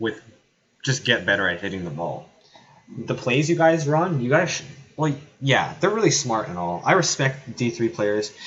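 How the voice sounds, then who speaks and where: Loud and at a moderate pace, a man at medium pitch makes very wide pitch swings between long, frequent pauses. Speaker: live game commentator / streamer. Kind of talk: live commentary. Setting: at home streaming.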